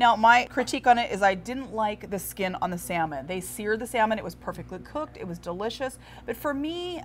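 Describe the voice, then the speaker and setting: Over light background noise, a woman speaks at a fairly quick pace with vocal fry, very wide pitch swings and big swings in loudness. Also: hardly any pauses. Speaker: TV food show co-host. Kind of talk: food review commentary. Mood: upbeat, opinionated. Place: cafe.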